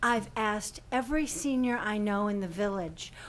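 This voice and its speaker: Medium-pitched woman at a moderate pace, with audible room echo. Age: 60s. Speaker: senior resident speaking at public comment. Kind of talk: public comment at village board meeting.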